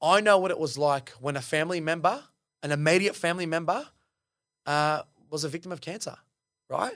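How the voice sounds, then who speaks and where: Against a silent background in a very clean recording, a man with a high pitch and an animated tone talks at a fairly quick pace, using ordinary pitch variation and long, frequent pauses. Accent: Australian. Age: 20s. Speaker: engineer and reality TV contestant. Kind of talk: casual interview.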